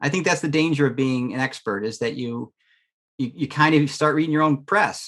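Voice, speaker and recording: A man speaks at a fairly quick pace with a fairly high pitch. His pitch varies in an ordinary way. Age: 60s. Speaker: learning and development expert. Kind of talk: podcast interview. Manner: halting, many repeated words.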